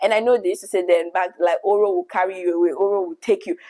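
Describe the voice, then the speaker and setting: A woman speaks at a medium pitch with a Nigerian accent. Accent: Nigerian, vibrant. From Nigeria, Lagos. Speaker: YouTuber. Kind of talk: storytelling monologue.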